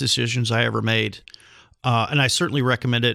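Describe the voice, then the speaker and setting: On a very clean recording with a silent background, a man with a bright, sharp tone speaks at a very fast pace with fairly even intonation. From Netherlands, Rotterdam. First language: Dutch. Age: 50s. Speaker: podcast host and healthcare entrepreneur, ex-Marine. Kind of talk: interview.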